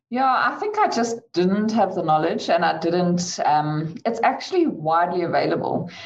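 Against noticeable background noise and audible room echo, a woman with a fairly low pitch speaks at a moderate pace, with lively intonation and very even loudness. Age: 30s. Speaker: chartered accountant. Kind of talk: online panel discussion.

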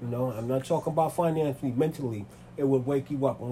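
A man's voice sits at medium pitch with a dark, mellow tone. It is somewhat breathy, with ordinary pitch variation. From New York City (Manhattan and the Bronx). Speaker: interviewee. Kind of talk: interview. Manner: halting, many fillers.

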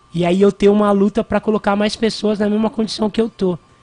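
A man's high-pitched voice over background music. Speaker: hip hop cultural activist. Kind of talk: radio interview. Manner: casual, slangy.

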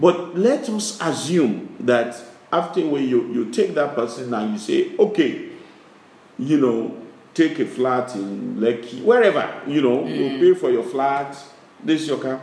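Slowing to a fairly slow pace, a man with a fairly high pitch makes very wide pitch swings. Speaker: business chairman. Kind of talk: interview. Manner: halting.

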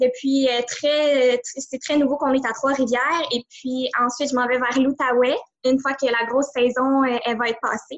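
Speaking in a Quebec accent, a woman's high voice stays monotone and flat at a fairly slow pace. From Quebec, greater Montreal. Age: 20s. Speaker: entrepreneur. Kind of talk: interview.

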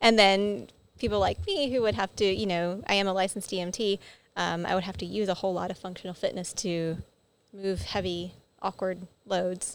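Speaking at a moderate pace in a normal speaking voice, a woman keeps a medium pitch and fairly even intonation on a very clean recording with a silent background. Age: 30s. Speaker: head of operations at a gym. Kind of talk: casual chat. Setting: studio with video. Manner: laughs often.

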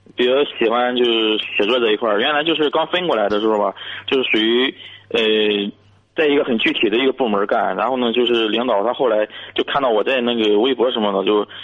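A man's medium-pitched voice with ordinary pitch variation, very even loudness and a fairly quick pace. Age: 30s. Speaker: caller, civil servant. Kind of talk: radio call-in advice. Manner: halting.

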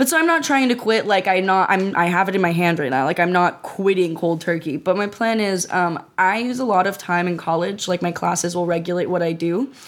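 A woman talks at a medium pitch and a fairly quick pace. Noticeable background noise runs underneath. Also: ordinary pitch variation, hardly any pauses. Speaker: podcast co-host. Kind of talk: casual chat.

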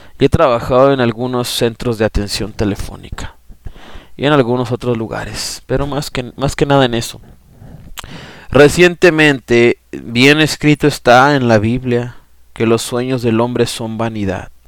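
A man talks at a fairly slow pace with fairly even intonation in a normal speaking voice. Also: medium pitch for a man. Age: 30s. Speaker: lay preacher and podcaster. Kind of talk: testimony; sermon.

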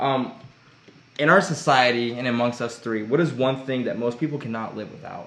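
A man speaks at a medium pitch with an American accent, at a moderate pace with ordinary pitch variation. There is audible room echo and noticeable background noise. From Missouri, Joplin. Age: 20s. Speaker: podcast host, ministry student. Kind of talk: casual chat.

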